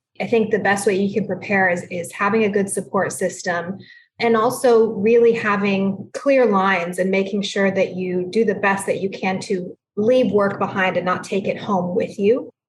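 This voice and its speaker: A woman with a somewhat breathy, medium-pitched voice speaks at a moderate pace with fairly even intonation and hardly any pauses. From Texas, San Antonio. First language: Spanish. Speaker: judge. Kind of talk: interview.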